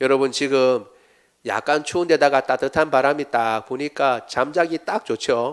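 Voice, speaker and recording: Over a silent background in a very clean recording, a man speaks at a fairly slow pace with a fairly high pitch and ordinary pitch variation. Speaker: pastor. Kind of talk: sermon.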